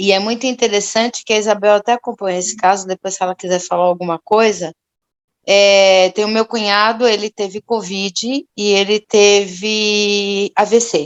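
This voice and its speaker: Flat, monotone intonation from a woman, in a dry, close sound with no echo. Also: medium pitch for a woman, moderate pace. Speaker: religious study group participant. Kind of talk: testimony.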